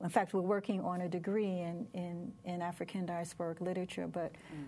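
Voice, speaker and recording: Intonation stays fairly even in this dark, mellow tone. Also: woman. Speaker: literary center director. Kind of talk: interview.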